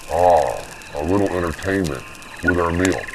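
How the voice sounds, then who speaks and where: A man in a put-on character voice, very deep and low in pitch, over clear background noise. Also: moderate pace. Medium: machinima.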